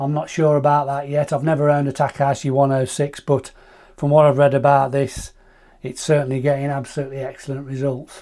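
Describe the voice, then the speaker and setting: A man with a British accent talks very fast in a fairly high, dark, mellow voice with monotone, flat intonation, in a very clean recording with a silent background. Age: 50s. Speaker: astrophotography YouTuber. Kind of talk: product review. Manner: casual, some hesitations.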